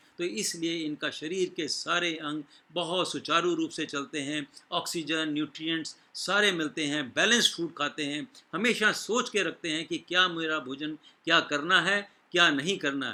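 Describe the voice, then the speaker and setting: A man's bright, sharp voice, fairly high in pitch, with ordinary pitch variation. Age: 60s. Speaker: doctor. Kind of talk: health talk. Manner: halting.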